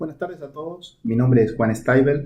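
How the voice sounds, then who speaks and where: A man with an Argentine accent speaks at a moderate pace in a dark, mellow, somewhat breathy tone. His pitch varies in an ordinary way, and room echo is audible. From Argentina, La Pampa province. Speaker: professor of animal genetics. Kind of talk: conference talk answering questions. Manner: hesitant with frequent fillers.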